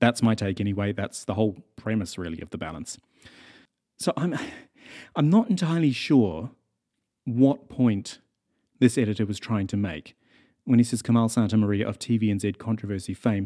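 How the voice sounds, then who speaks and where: A man with a New Zealand accent speaks at a moderate pace with a fairly low, dark, mellow voice and lively intonation. Long, frequent pauses break up his speech on a very clean recording with a silent background. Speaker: podcast host and journalist. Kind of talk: casual monologue reading listener mail. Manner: conversational with frequent fillers.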